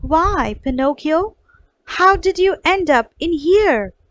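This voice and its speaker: Using a put-on character voice at an extremely high pitch, a woman speaks at a fairly slow pace. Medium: read story. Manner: soft.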